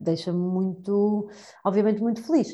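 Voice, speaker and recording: Her intonation is monotone and flat. The woman's tone is dark and mellow, with some breathiness. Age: 30s. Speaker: education professional, youth entrepreneurship trainer. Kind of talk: interview conversation.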